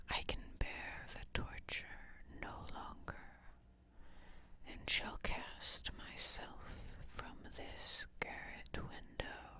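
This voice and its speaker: This is whispering at a very slow pace. Long, frequent pauses break it up. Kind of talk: ASMR whispered story reading. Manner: whispered, soft.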